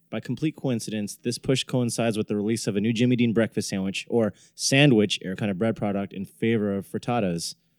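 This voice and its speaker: In an ordinary speaking voice, a man talks at a fairly quick pace and a fairly low pitch with ordinary pitch variation and hardly any pauses, on a very clean, dry, close recording with a silent background and no echo. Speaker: podcast host. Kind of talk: casual chat.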